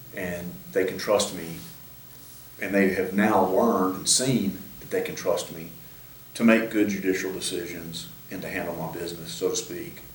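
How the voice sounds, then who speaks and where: Over audible room echo, a man with a very deep, low pitch speaks at a moderate pace, with ordinary pitch variation and big swings in loudness. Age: 60s. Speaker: judge. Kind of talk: interview. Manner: halting.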